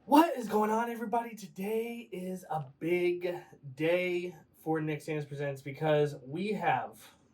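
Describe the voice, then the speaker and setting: Noticeable background noise accompanies a man with a high pitch. He talks at a fairly slow pace with lively intonation. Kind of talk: podcast interview host. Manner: casual, playful.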